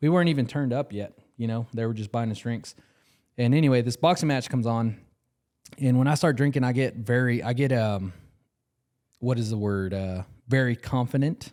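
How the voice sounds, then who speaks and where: On a very clean recording with a silent background, a man speaks at a fairly quick pace with ordinary pitch variation and long, frequent pauses. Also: medium pitch for a man. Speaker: podcast co-host. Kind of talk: casual chat. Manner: loud; animated.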